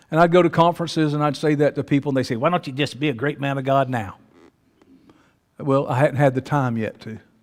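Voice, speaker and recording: This man's fairly high-pitched voice runs at a very fast pace. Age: 60s. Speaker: pastor. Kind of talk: sermon. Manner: animated.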